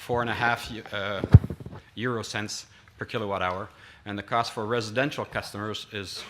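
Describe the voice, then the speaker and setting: A man with a Quebec accent speaks at a fairly low pitch. His tone is bright and sharp, at a moderate pace. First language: French. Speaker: industry association representative. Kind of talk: conference presentation. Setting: conference stage with audience. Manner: halting, many fillers.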